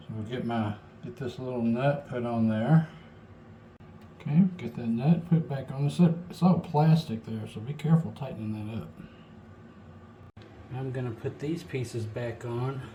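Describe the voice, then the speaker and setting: Mumbling at a moderate pace, a man speaks in a somewhat breathy voice with lively intonation, big swings in loudness, and long, frequent pauses. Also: medium pitch for a man. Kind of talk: DIY repair tutorial talk. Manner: mumbling, low volume; casual, hesitant.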